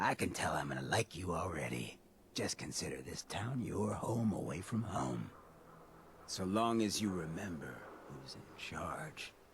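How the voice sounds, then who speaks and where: A man puts on a character voice, pitched very deep and low. He speaks at a moderate pace over light background noise. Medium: video game. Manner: laid-back, smooth.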